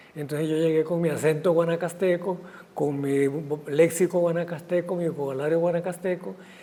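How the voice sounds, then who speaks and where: This man's voice sits high in pitch for a man. He speaks at a moderate pace. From Costa Rica, Guanacaste. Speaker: writer and physician. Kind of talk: interview conversation.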